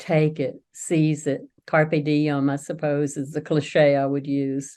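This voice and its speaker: Over a quiet background, a woman speaks very slowly with a very deep, low pitch, a dark, mellow tone and fairly even intonation. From US South. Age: 70s. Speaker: author. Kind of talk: interview.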